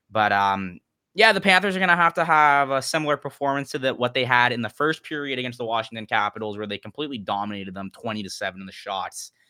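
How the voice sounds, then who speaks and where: Very fast and with hardly any pauses, a man talks with lively intonation and a bright, sharp tone in a dry, close sound with no echo, on a very clean recording with a silent background. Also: medium pitch for a man. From Canada. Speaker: sports journalist. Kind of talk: casual chat.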